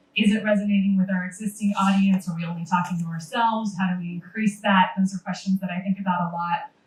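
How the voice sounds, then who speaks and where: A somewhat breathy woman's voice, medium in pitch, with an American accent, very fast and monotone with flat intonation. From San Francisco Bay Area, US. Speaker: museum social media manager. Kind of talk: panel presentation.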